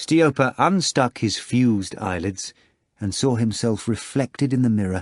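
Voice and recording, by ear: A quiet background behind a natural voice reading aloud, with ordinary pitch variation.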